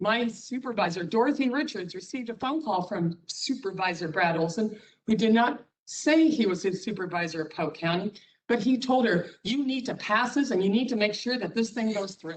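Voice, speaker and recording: Lively intonation in a woman's somewhat breathy voice. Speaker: cheese producer, public commenter. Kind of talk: public comment at county meeting. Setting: public meeting. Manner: fast.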